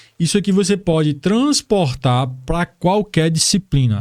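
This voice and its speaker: A man's dark, mellow tone with lively intonation. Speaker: exam-prep teacher, YouTuber. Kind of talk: online tutorial lesson. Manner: casual, informal.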